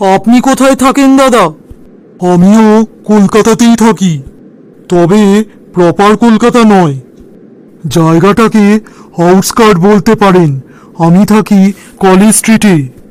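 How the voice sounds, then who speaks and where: In a cartoonish character voice, the speaker goes at a fairly slow pace with very even loudness. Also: man, high pitch for a man. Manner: dry, sarcastic.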